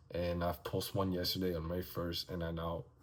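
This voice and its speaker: A man mumbles at a fairly quick pace in a very deep, low voice that is somewhat breathy. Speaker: vlogger and aspiring life coach. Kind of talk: casual vlog monologue. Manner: mumbling.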